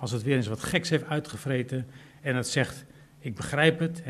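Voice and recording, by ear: The text is read aloud in a natural voice with ordinary pitch variation.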